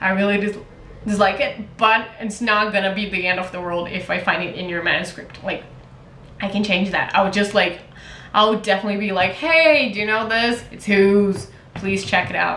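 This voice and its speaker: Speech in a Portuguese accent at a moderate pace with ordinary pitch variation, plus audible room echo and noticeable background noise. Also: woman, medium pitch for a woman. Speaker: writer and contest mentor. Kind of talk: casual vlog monologue. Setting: talking to camera.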